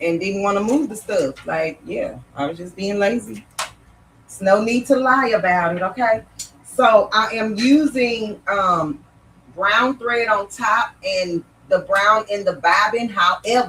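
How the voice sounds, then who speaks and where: A loud woman with an animated tone, at a fairly slow pace, with ordinary pitch variation over noticeable background noise. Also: medium pitch for a woman. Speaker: sewing instructor. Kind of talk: live-stream sewing tutorial.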